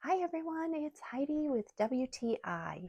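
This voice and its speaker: Soft-spoken and very slow, a woman with a dark, mellow tone is heard in a very clean recording with a silent background and a dry, close sound with no echo. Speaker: product reviewer. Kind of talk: product review. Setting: outdoors by the ocean.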